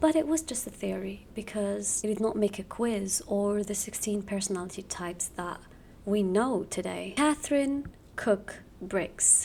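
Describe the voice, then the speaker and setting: A woman talks in a whisper. She goes at a fairly slow pace. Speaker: youtuber. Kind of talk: casual explainer video. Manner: whispering.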